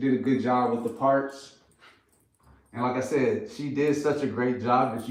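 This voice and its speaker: At a moderate pace, a man with an American accent speaks amid audible room echo. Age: 30s. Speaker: brand co-founder. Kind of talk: live stream chat. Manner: casual, filler-heavy.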